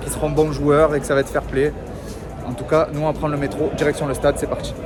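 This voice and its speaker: A man talks at a very fast pace with a fairly high pitch, in a Marseille accent and a monotone, flat intonation. Music plays in the background and the room echo is audible. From Marseille, southern France. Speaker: football vlogger. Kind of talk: vlog. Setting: outdoors at a train station and stadium.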